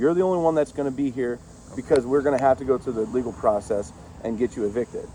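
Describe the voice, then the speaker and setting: A man rattles along at a very fast pace, his pitch varying in an ordinary way, while noticeable background noise sits underneath. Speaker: sheriff's deputy. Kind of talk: police eviction warning. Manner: blunt, frank.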